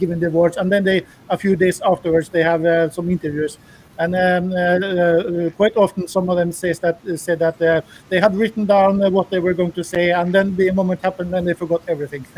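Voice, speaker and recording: Recorded dry and close with no echo, a man talks at a fairly quick pace with a high pitch and monotone, flat intonation. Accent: non-native. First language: not English. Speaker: patron on video call. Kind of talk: casual chat. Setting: video call. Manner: halting, many fillers.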